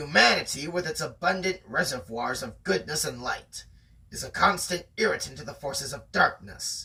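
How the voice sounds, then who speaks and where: This man uses a put-on character voice. His pitch is fairly high and his pace moderate. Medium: read story. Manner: steely determination.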